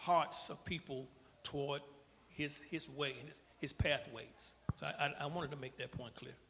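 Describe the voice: Speaking at a fairly slow pace, a man has a bright, sharp tone and a fairly high pitch. His intonation is fairly even.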